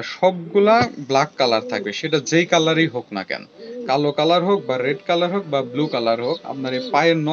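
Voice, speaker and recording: Lively intonation from a fairly high-pitched man against noticeable background noise. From Natore, Rajshahi, Bangladesh; Rajshahi, Bangladesh. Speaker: pigeon farmer. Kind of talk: tutorial. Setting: on a pigeon farm.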